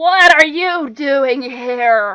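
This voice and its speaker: A put-on character voice from a female-sounding speaker, pitched high. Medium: actual play. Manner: suspicious, gruff.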